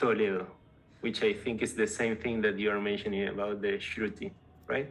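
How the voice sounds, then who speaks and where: A man's medium-pitched voice at a moderate pace, with a flat, monotone delivery. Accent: strong Spanish. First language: Spanish. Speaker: tech company co-founder. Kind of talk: casual interview. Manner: halting, repeats words.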